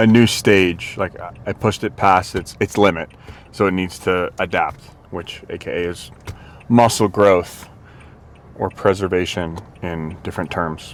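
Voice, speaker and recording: The speaker mumbles with fairly even intonation, long and frequent pauses, and big swings in loudness. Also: man, very deep, low pitch for a man. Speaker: fitness vlogger. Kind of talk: casual workout vlog talk. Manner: mumbling; low energy.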